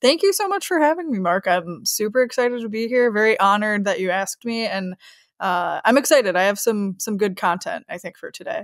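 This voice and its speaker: Lively intonation marks this woman's fairly high voice, which carries a slight Chicago accent on a very clean recording with a silent background. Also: fairly quick pace. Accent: slight Chicago accent on certain words. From US Midwest, Chicago. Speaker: sales manager. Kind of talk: podcast interview.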